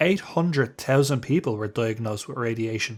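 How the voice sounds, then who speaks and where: A man talks fairly quickly. Music can be heard behind him. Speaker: gaming video host. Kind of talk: video essay narration.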